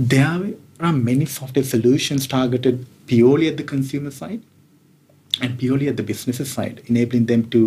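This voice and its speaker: In a dark, mellow and somewhat breathy voice, a man talks very fast with ordinary pitch variation. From Sri Lanka. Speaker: tech executive. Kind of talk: interview. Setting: hotel room.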